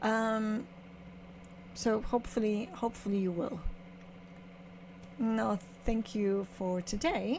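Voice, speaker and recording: Somewhat breathy and fairly high in pitch, a woman speaks at a very slow pace with ordinary pitch variation and long, frequent pauses. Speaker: photographer. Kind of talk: casual vlog explanation. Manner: halting, many fillers.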